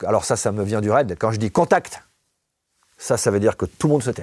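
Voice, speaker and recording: Very fast and full of lively intonation, a man rattles through his words. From southwestern France. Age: 50s. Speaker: negotiation expert, former police negotiator. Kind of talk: interview.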